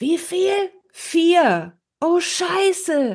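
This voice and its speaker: The woman's voice comes through with a quiet background behind it. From Ruhr area, Germany (Herne). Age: 40s. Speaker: podcast co-host. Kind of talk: casual chat.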